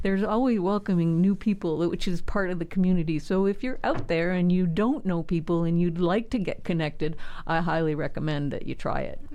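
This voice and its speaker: In a room with audible echo, a woman with a dark, mellow tone speaks at a fairly quick pace with hardly any pauses. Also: fairly low pitch for a woman, ordinary pitch variation. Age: 60s. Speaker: community leader. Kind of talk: interview.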